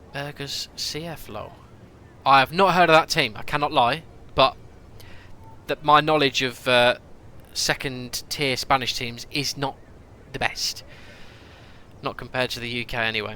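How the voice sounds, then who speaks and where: A man with a British accent speaks at a moderate pace and a fairly high pitch, with ordinary pitch variation. His loudness swings widely, and he takes long, frequent pauses. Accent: noticeable British. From UK. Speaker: gaming streamer. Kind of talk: live stream commentary. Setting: live stream. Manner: casual, chatty.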